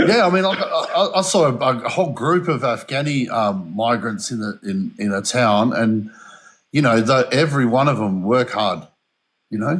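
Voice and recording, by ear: A man with an Australian accent at a medium pitch, fairly bright in tone, moderate pace, ordinary pitch variation, audible room echo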